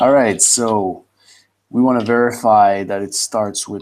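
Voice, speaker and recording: A man with a Quebec accent and fairly even intonation. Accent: French Canadian accent in English. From Quebec (French Canada). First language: French. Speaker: computer science student. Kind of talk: pair programming session.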